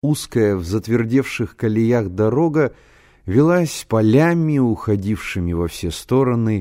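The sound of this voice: The intonation stays lively throughout this unforced reading voice.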